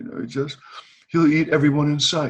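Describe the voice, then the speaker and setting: A man with an American accent speaks at a fairly high pitch. His voice is somewhat breathy, with ordinary pitch variation. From Boston. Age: 70s. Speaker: retired teacher. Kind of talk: casual chat. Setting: video call. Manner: animated.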